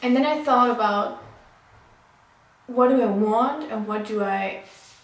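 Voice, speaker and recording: A woman speaks at a fairly slow pace, her fairly high pitch showing ordinary variation. Audible room echo and noticeable background noise accompany her. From Germany. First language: German. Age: 20s. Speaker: vlogger and midwife student. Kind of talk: casual vlog talk. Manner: halting, many fillers.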